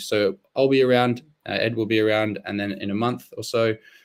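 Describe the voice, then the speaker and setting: At a fairly quick pace, a man of medium pitch speaks with fairly even intonation. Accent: Australian. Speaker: SEO expert hosting a webinar. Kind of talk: live webinar presentation.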